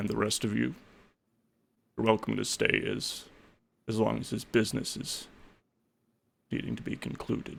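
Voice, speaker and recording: A man's put-on character voice at a moderate pace, with long, frequent pauses. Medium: actual play. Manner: calm, courteous, quietly commanding.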